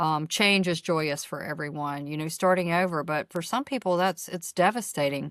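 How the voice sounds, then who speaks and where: This woman has an ordinary speaking voice with a fairly low pitch and ordinary pitch variation, talking at a moderate pace with hardly any pauses in a very clean, dry, close recording with no echo and a silent background. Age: 50s. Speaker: podcast co-host. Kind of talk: casual chat.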